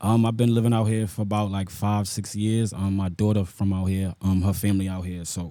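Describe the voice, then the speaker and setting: This man has a fairly low, dark, mellow voice and an American accent. He talks at a fairly quick pace with flat, monotone intonation. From New York, South Bronx. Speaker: rapper. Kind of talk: interview.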